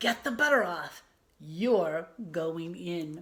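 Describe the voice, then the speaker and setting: A woman puts on a growling character voice, fairly low in pitch, with lively intonation. She speaks at a very slow pace. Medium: read story.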